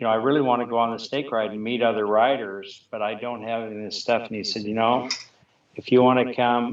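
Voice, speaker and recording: In an American accent, a man talks at a very fast pace. His medium-pitched voice stays monotone and flat. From Montana. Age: 60s. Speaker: snowmobile rider. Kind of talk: interview. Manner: halting.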